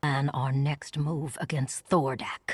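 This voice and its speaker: A cartoonish character voice at low-to-middle pitch and a fairly slow pace. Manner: calm, manipulative.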